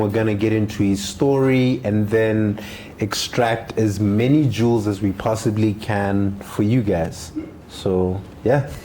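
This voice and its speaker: Against noticeable background noise, a man talks at a fairly slow pace with a fairly low pitch and very even loudness. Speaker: podcast host. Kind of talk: podcast host talk.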